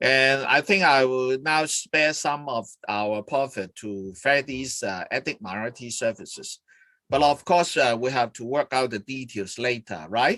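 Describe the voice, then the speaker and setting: With a Hong Kong accent, a man speaks at a fairly slow pace with a medium pitch and lively intonation. His tone is bright and sharp, and the sound is dry and close with no echo. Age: 60s. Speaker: charity chairman hosting an interview. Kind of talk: live-streamed interview. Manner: halting, many fillers.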